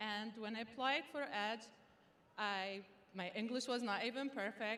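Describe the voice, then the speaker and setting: Speaking with an Arabic accent, a woman keeps a moderate pace and a fairly high pitch with ordinary pitch variation. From Sudan. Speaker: student graduation speaker. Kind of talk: commencement speech.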